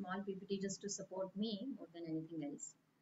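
A woman talks at a moderate pace. Light background noise is present. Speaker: study group teacher. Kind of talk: lecture. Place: home room. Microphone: video call.

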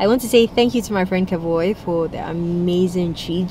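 Heard at a moderate pace with ordinary pitch variation, the voice has a dry sound with no echo and light background noise. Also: woman. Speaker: food vlogger. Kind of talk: casual vlog chat. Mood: cheerful, full after meal. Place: car. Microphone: phone near.

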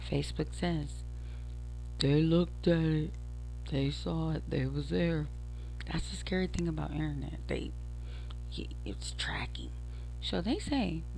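Speaking fairly slowly with long, frequent pauses, a woman with a very deep, low voice keeps her intonation fairly even, the sound dry with no echo and light noise behind her. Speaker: podcaster. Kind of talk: casual vlog chat. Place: home room. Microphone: headset.

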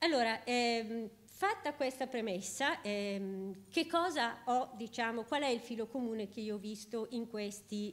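A woman speaks at a fairly slow pace in a normal speaking voice. Her pitch sits fairly high, with ordinary variation. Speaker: professor. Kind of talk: lecture. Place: hall.

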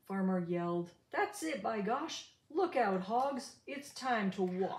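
Lively intonation marks the delivery. It is a natural reading voice.

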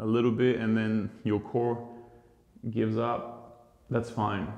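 Here a man talks at a medium pitch in a calm, soothing tone. There is audible room echo. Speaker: yoga teacher. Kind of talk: guided yoga class instruction, breath-paced cues. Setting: online video class. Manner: calm, slow, soothing, instructive; rhythmic, paced with breathing, repeating counts. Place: home room.

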